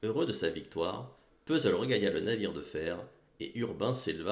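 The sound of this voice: The clip features an unforced reading voice with lively intonation.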